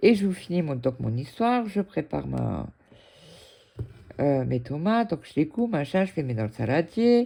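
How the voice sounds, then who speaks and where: A woman's dark, mellow voice, very deep and low in pitch, with very wide pitch swings. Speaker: cross-stitch hobby youtuber. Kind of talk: casual chat while stitching.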